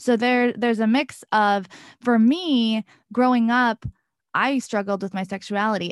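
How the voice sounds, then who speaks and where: A woman speaks at a moderate pace with a fairly high pitch and an American accent. She has an unremarkable speaking voice, recorded against a quiet background. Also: dry, close sound with no echo. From US small town. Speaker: podcast host, abuse awareness speaker. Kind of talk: interview.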